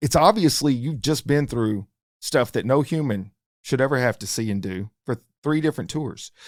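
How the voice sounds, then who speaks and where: A man speaks in a normal speaking voice at medium pitch, with lively intonation and a moderate pace. The sound is dry and close with no echo, and the recording is very clean with a silent background. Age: 50s. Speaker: podcast host, firefighter paramedic. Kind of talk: interview conversation. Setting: studio.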